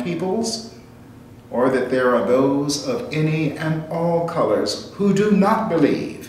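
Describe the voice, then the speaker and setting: With an American accent, a man speaks at a fairly slow pace and fairly high pitch, swinging very widely in pitch, amid noticeable background noise and audible room echo. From United States. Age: 60s. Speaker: essayist, commentator. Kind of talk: reading aloud a personal reflection essay. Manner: formal.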